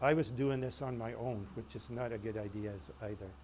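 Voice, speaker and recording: This man talks at a moderate pace in a medium pitch, with ordinary pitch variation. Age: 60s. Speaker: painter. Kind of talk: informal talk with audience questions. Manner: halting.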